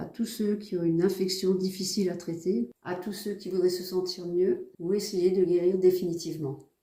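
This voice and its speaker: At a fairly slow pace, a woman of medium pitch speaks with fairly even intonation. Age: 60s. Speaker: patient. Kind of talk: testimony. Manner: hesitant, many filler sounds.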